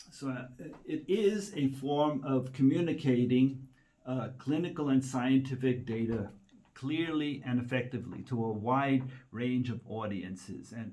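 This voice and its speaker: A man speaks at a fairly slow pace with a dark, mellow tone. His pitch is medium and varies in an ordinary way. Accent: American. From United States. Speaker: medical writer. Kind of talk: presentation. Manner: hesitant, many fillers.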